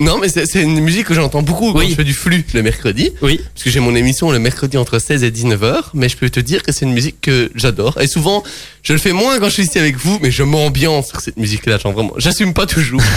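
The speech comes at a very fast pace with lively intonation and hardly any pauses. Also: man, fairly high pitch for a man. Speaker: community radio sports show host. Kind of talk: casual radio sports chat. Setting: radio studio.

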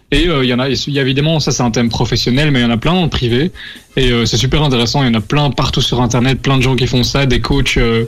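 A man talks very fast at a medium pitch with fairly even intonation. His loudness stays very even, and noticeable background noise is present. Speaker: radio co-host. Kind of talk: casual radio show.

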